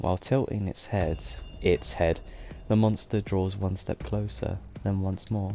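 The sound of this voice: Reading in an unforced voice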